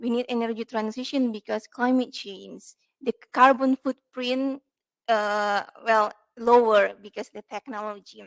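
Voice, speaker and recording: Fairly high pitch from a woman, monotone and flat yet with big swings in loudness, at a fairly slow pace in a dry, close sound with no echo. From Indonesia. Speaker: PhD student, audience member. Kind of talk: seminar question. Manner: halting.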